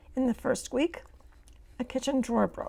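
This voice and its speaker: A woman speaks with a dark, mellow tone. Her pitch is high. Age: 60s. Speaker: vlogger sharing personal hardships. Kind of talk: reading aloud a personal account.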